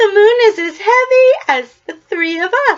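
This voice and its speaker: Woman's squeaky put-on character voice at an extremely high pitch, with lively intonation and a fairly slow pace. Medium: read story. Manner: wailing.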